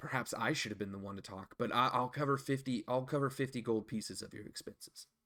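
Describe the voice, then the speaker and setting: In a raspy put-on character voice, a man speaks very fast at a medium pitch with ordinary pitch variation and big swings in loudness. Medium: actual play.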